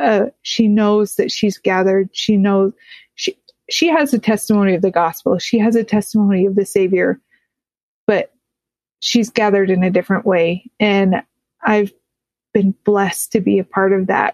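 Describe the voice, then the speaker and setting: A woman's medium-pitched voice with a Utah accent, moderate in pace and very even in loudness, with ordinary pitch variation, long, frequent pauses and a dry, close sound with no echo. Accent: American, Utah. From rural Utah, US. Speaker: podcast host. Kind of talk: interview.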